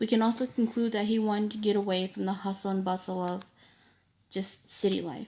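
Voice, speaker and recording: Her voice sits at a medium pitch, with a dark, mellow tone and fairly even intonation. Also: fairly quick pace. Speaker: student. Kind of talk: poem analysis presentation. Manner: hesitant, with stutters and fillers.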